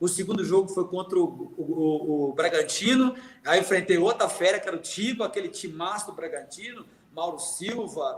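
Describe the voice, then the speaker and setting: A man speaks at a fairly slow pace with ordinary pitch variation over noticeable background noise. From Minas Gerais, Brazil. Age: 50s. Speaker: retired footballer. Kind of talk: interview storytelling.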